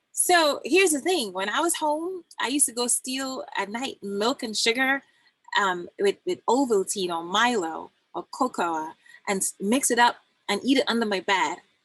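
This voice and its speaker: Speaking at a moderate pace with a Trinidadian accent, a woman uses a high voice with very wide pitch swings, recorded with a dry, close sound and no echo. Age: 40s. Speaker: health coach and doula. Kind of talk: casual guest talk on live stream. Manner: animated, storytelling with quoted dialogue.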